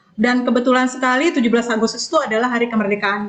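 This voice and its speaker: A woman with a fairly high voice talks very fast in fairly even intonation over noticeable background noise. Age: 40s. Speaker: network marketing distributor. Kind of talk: online business presentation. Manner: casual conversational with fillers.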